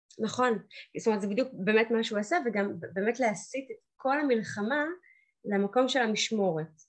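At a moderate pace broken by long, frequent pauses, a woman speaks with a fairly high pitch and ordinary pitch variation. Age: 30s. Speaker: divorced mother sharing her story. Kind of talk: personal testimony.

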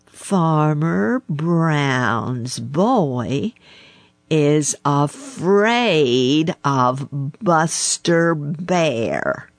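A put-on character voice at a middle pitch, drawling at a very slow pace. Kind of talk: storybook. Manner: slow, provoking drawl.

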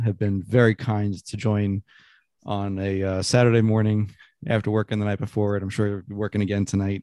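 A man's fairly low, dark and mellow voice in a flat monotone. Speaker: podcast host. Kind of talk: casual interview. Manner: halting, many fillers.

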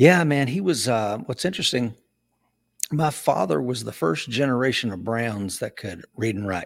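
Speaking with an East Tennessee accent, a man at medium pitch makes very wide pitch swings. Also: moderate pace. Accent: Southern US (East Tennessee). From East Tennessee (Knoxville). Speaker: Marine veteran and law enforcement trainer. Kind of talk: casual interview.

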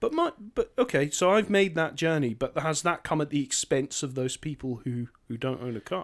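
Someone with a Scottish accent speaks at a moderate pace with lively intonation and hardly any pauses. The recording is very clean, with a silent background. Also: man, fairly high pitch for a man. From northern Scotland. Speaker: podcast co-host. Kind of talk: casual discussion.

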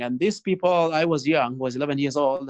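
A man speaks at a fairly high pitch in a South Sudanese accent with ordinary pitch variation. The sound is dry and close, with no echo. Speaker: guest, nonprofit founder. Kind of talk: interview answers, storytelling. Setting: video call. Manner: gentle.

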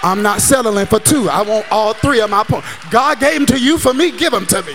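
With a high pitch for a man and an animated, warm tone, he speaks at a moderate pace with lively intonation over noticeable background noise. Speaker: pastor. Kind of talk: sermon. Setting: church with a live congregation and online chat. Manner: animated, call-and-response preaching, urging the crowd to shout, clap and say amen; warm, conversational and jokey, checking in with "does that make sense?".

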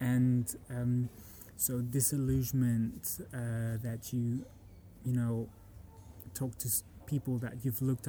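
A man's somewhat breathy, dark and mellow voice, very slow and monotone, with flat intonation and long, frequent pauses. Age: 30s. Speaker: musician and architect. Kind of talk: casual interview. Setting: university in Frankfurt.

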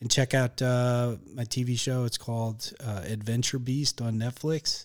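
On a very clean recording with a silent background, a man speaks fairly slowly in a normal speaking voice with fairly even intonation. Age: 40s. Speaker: comedian and TV writer. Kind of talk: casual chat. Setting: studio.

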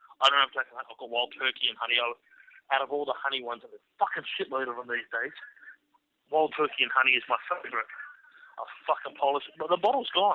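Very fast pace from this man. He has an Australian accent. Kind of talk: casual chat. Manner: animated.

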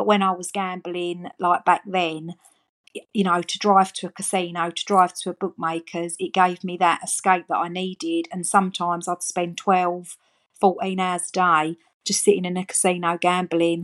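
With an Essex accent, a woman speaks at a moderate pace in a fairly low, monotone, flat voice, the sound dry and close with no echo over a quiet background. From Essex, England. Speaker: gambling harm support worker with lived experience. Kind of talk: personal testimony.

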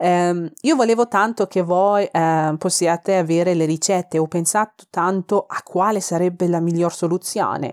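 Recorded very cleanly against a silent background, the sound is dry and close with no echo. A woman with a Persian accent speaks at very even loudness with fairly even intonation. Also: fairly low pitch for a woman, moderate pace. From Iran, Tehran. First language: Persian (speaking Italian). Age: 30s. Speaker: food podcaster. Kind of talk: casual cooking podcast monologue. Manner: hesitant, many fillers.

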